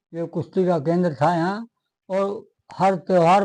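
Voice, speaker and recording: A man's high-pitched voice, dark and mellow in tone, with fairly even intonation against a quiet background. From Tera village, western Uttar Pradesh, India. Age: 70s. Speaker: village elder. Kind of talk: interview. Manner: hesitant, filler-heavy.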